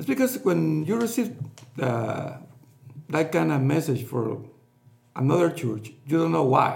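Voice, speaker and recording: Speaking in a Spanish accent, a man with a fairly high pitch swings very widely in pitch, talking at a fairly slow pace with long, frequent pauses amid noticeable background noise. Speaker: pastor. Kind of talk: casual chat. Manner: halting.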